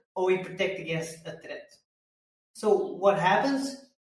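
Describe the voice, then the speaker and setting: High-pitched male voice with ordinary pitch variation and audible room echo. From Belgium. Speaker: mindset coach. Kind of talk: interview conversation.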